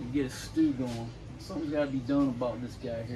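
There is noticeable background noise in this clip. A man speaks fairly quickly over it. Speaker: home cook host. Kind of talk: casual cooking show chat. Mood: jokey, relaxed. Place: garden. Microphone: camera far.

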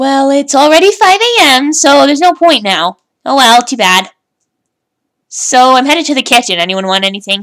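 In a put-on character voice, a female-sounding speaker talks at a moderate pace and a high pitch. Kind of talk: fan-made comic dub acting. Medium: audio drama. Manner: chirpy, eager, defensive.

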